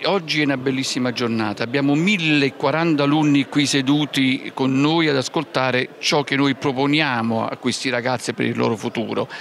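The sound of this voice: Moderate pace with few pauses, fairly even intonation, a fairly bright tone, vocal fry, and faint background noise. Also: man, medium pitch for a man.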